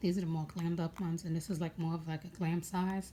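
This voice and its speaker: Speaking with an American accent, a woman has a fairly low pitch and a dark, mellow tone. Her voice is somewhat breathy, with fairly even intonation. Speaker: beauty vlogger. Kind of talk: casual makeup tutorial. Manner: casual, hesitant with many fillers.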